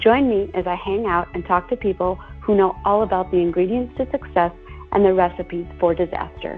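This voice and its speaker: Over music in the background, a woman speaks at a fairly quick pace. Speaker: podcast host. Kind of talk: podcast interview host.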